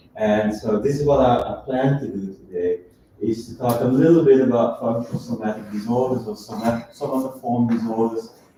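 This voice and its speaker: Over noticeable background noise, a man with a non-native accent talks at a fairly quick pace and medium pitch, with fairly even intonation. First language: not English. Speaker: professor. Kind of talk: lecture. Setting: lecture hall with audience, also streamed. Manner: halting.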